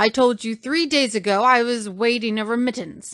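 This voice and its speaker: Over a quiet background, a woman puts on a character voice at a fairly high pitch and a moderate pace. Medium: read story. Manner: angry, abrupt.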